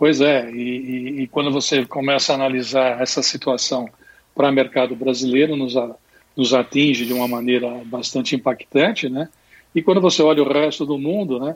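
A man at medium pitch, moderate in pace, with fairly even intonation. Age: 60s. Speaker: business consultant. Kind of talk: interview. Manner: halting.

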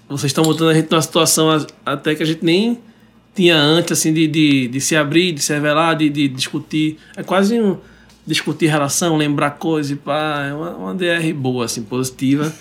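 At a moderate pace, a man speaks in a plain, everyday voice, fairly high-pitched with ordinary pitch variation. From Recife, Brazil. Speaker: singer-songwriter. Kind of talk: casual chat, interview. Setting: radio studio.

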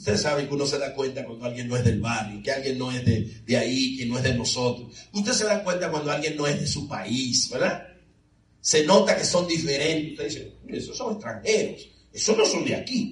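The man has a normal speaking voice with a fairly high pitch. His intonation is lively. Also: fairly quick pace. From Dominican Republic. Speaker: preacher. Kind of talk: sermon. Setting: church with congregation.

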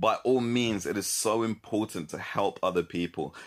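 Someone with a London accent speaks in a very clean recording with a silent background. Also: man. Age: 20s. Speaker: church student leader and entrepreneur. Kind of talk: interview and advice talk.

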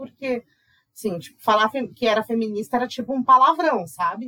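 A woman speaks at a moderate pace in a high, bright and sharp voice. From Brazil, Mato Grosso do Sul. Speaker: magazine editor. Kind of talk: casual chat.

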